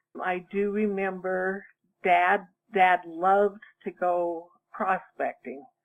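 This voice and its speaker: A woman speaks very slowly in a medium pitch with monotone, flat intonation. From US West, central Utah (Richfield). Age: 60s. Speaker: oral history interviewee. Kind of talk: oral history interview. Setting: phone call.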